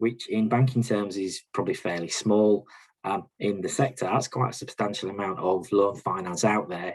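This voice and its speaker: Speaking with a Yorkshire accent, a man keeps a moderate pace, a fairly low pitch and fairly even intonation. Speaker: bank regional manager. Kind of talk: presentation. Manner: hesitant, many fillers.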